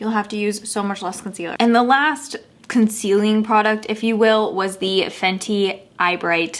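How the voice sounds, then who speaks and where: A woman with a Michigan accent, fairly high pitch, fairly even intonation and a moderate pace. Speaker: beauty youtuber. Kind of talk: product review vlog. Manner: casual, chatty.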